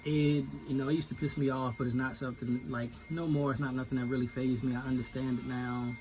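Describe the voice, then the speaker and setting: A man's medium-pitched voice with an American accent, very fast pace and fairly even intonation over noticeable background noise. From Virginia. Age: 30s. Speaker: finish carpenter. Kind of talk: casual rant vlog. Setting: inside tool trailer. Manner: casual, rambling.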